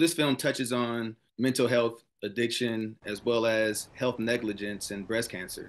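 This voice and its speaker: Fairly even intonation shapes this speech. The speaker is a man. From Grand Rapids, Michigan, US Midwest; Michigan. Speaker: film producer. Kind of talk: interview. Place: home room. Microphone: video call.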